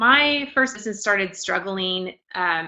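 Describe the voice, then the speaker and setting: Using a normal speaking voice, a woman talks at a moderate pace with a medium pitch and ordinary pitch variation. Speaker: planner designer and business coach. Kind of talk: live online workshop. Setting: live stream reading viewer comments.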